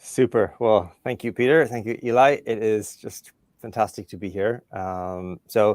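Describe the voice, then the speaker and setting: In a very clean recording with a silent background, a man with an Irish accent talks at a medium pitch, the sound dry and close with no echo. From Ireland. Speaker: career development professional. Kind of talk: podcast interview.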